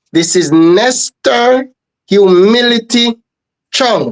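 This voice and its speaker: A man with a Jamaican accent speaks with lively intonation. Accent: Jamaican English with patois. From Jamaica, Trelawny. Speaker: reggae singer. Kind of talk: interview.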